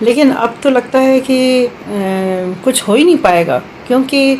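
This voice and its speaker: A woman talks with ordinary pitch variation while noticeable background noise plays behind her. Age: 70s. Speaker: retired official, senior citizen. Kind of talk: personal testimony. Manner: halting, many fillers.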